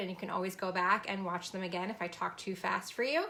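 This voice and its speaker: Speaking at a very fast pace, a woman has a bright, sharp tone. Her pitch sits in the medium range. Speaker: fashion business coach. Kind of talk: sales pitch. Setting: live stream.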